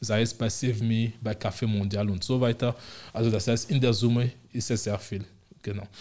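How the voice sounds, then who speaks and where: A man speaks at a medium pitch with a dark, mellow tone, somewhat breathy. His intonation is flat and monotone. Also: moderate pace, very clean recording, silent background. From Togo, West Africa. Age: 40s. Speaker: city integration officer. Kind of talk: interview.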